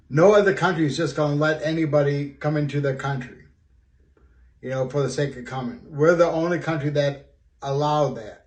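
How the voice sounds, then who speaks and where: A man talks at a fairly quick pace in a fairly high pitch, somewhat breathy, with ordinary pitch variation. His loudness swings widely. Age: 60s. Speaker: student. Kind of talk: personal video monologue. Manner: halting, many fillers.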